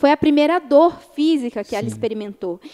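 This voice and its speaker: The voice has a dark, mellow tone and lively intonation at a fairly quick pace. The sound is dry and close with no echo. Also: woman. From Brazil, Minas Gerais. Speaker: lawyer. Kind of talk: interview.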